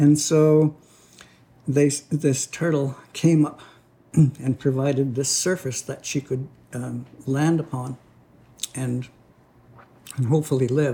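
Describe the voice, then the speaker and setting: Somewhat breathy and dark, mellow in tone, a man speaks at a very slow pace with a fairly high pitch, monotone, flat intonation and long, frequent pauses. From Six Nations of the Grand River, Ontario, Canada. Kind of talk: oral storytelling of a creation story, told to a listener. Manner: unhurried, story-teller pacing with pauses and fillers.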